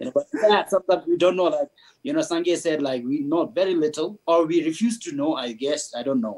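A man speaks in a normal speaking voice, pitched fairly high. His pace is fairly quick. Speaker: Buddhist lama. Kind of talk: panel discussion. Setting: video call.

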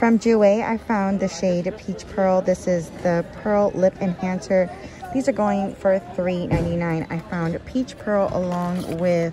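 A woman at a very slow pace with fairly even intonation, faint music in the background. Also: dry sound with no echo. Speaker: shopping vlogger. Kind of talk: casual shopping haul commentary. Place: shop. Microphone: phone near.

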